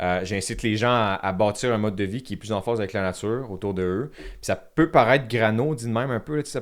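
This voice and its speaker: A man with a medium-pitched voice talks at a very fast pace, his pitch varying in an ordinary way. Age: 20s. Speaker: content creator, app founder. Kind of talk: podcast interview.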